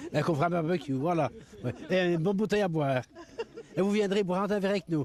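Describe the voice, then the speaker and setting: A high-pitched man's voice at a very fast pace, very even in loudness, with noticeable background noise. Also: ordinary pitch variation. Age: 60s. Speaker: local resident. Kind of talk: street interview.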